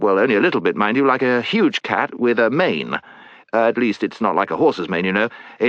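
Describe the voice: This is plain reading aloud. Nothing more is done with the delivery.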